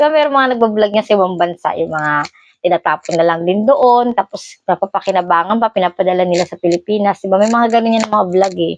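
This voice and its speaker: A woman at medium pitch, very fast and with hardly any pauses, with ordinary pitch variation. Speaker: vlogger. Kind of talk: casual vlog, showing items.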